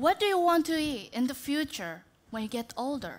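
The intonation is lively. The pace is fairly slow. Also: woman. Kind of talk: prepared talk. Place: stage. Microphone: headset.

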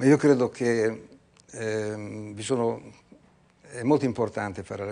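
The intonation stays fairly even. It is a plain, everyday voice. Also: man. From Italy. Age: 60s. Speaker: entrepreneur; guest. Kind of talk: TV interview. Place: studio. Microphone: lapel.

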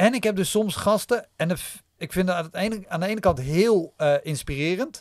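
Over a quiet background, the speech moves at a moderate pace with ordinary pitch variation, dry with no echo. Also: man, high pitch for a man. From Netherlands. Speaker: stand-up comedian and podcaster; podcast guest. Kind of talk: casual chat. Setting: studio. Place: studio. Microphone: studio mic.

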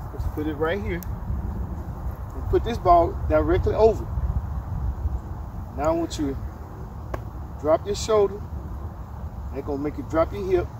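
A man talks at a moderate pace with long, frequent pauses. The sound is dry with no echo, and there is noticeable background noise. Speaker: golf instructor. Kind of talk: instructional talk to camera. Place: open country. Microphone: camera far.

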